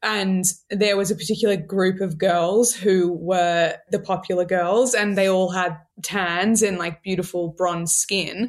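A woman in an Australian accent at medium pitch, with fairly even intonation and a fairly slow pace. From Australia, Sydney. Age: 20s. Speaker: TikTok creator. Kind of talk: casual interview.

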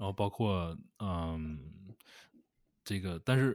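Fairly low male pitch and lively intonation from a man, in a very clean recording with a silent background. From Northeast China. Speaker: podcast co-host. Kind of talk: casual chat. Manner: halting, repeats words.

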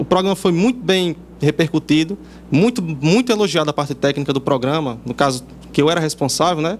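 With a plain, everyday voice, a man speaks at a fairly high pitch with lively intonation. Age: 20s. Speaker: video producer. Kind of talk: interview.

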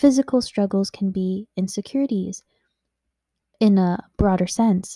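A woman's somewhat breathy voice with a dark, mellow tone, a fairly slow pace and long, frequent pauses, on a very clean recording with a silent background and a dry, close sound with no echo. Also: medium pitch for a woman, ordinary pitch variation. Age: 20s. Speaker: podcast host. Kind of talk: personal monologue. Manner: hesitant, filler-heavy.

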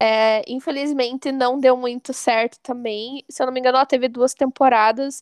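A woman's high pitch and monotone, flat intonation, a quiet background, and a dry, close sound with no echo. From Santa Catarina interior, Brazil (Porto União). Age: 20s. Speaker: podcast host, English teacher. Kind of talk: casual chat.

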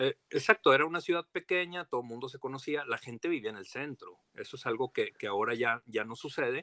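This man's voice sits fairly high and moves at a fairly quick pace, with lively intonation and big swings in loudness. The tone is bright and sharp, and the sound is dry and close with no echo. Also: hardly any pauses. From Torreón, Coahuila, Mexico (La Laguna region). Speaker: historian and archive director. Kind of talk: casual interview.

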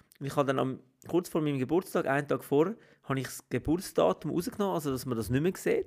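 On a very clean recording with a silent background, a man talks at a very fast pace in a fairly high voice with ordinary pitch variation. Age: 40s. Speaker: podcast co-host. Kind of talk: casual chat.

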